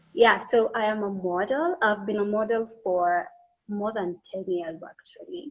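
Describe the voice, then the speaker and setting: A woman with a fairly high voice speaks at a fairly slow pace, her pitch swinging very widely. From Kenya. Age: 20s. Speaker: beauty pageant finalist and model. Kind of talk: live-stream interview. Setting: online live stream. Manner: animated.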